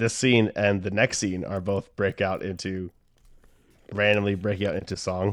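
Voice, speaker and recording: With an American accent, the speaker talks at a moderate pace in a monotone, flat intonation. The recording is very clean with a silent background. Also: man, fairly low pitch for a man. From Delaware, US. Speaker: podcast co-host, musician. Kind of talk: casual chat.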